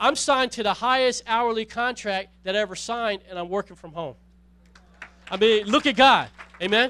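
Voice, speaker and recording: Speaking at a moderate pace with ordinary pitch variation, a man uses a raised, projected voice that is high, bright and sharp, with big swings in loudness. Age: 40s. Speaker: pastor. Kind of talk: sermon.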